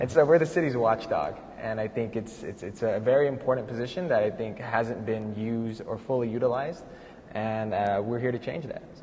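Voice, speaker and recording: A man with an American accent talks at a fairly quick pace, his pitch medium with ordinary variation. His loudness swings a lot, and there is noticeable background noise. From San Fernando Valley, California. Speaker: political candidate, accountant, housing activist. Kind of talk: panel conversation. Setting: live event in a gallery.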